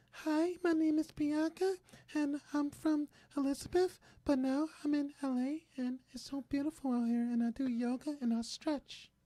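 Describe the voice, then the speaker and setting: A put-on character voice, female-sounding and high-pitched, comes out breathy and soft-spoken. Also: moderate pace. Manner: ASMR, calm.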